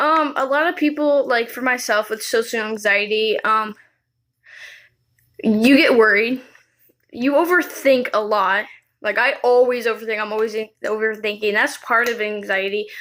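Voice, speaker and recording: The recording is very clean, with a silent background. A woman with a fairly high pitch speaks at a moderate pace with ordinary pitch variation. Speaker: video blogger. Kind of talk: personal vlog monologue. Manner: halting.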